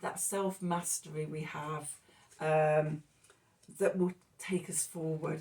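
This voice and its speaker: The speech is mumbled and somewhat breathy, with monotone, flat intonation. It moves at a very slow pace with long, frequent pauses. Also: woman, very deep, low pitch for a woman. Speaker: tarot reader. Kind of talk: tarot reading monologue. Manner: mumbling.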